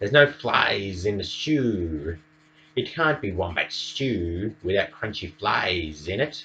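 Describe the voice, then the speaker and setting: In a put-on character voice, the speaker hisses and swings the pitch very widely. The pace is fairly slow. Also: man, fairly low pitch for a man. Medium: read story. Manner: hissing.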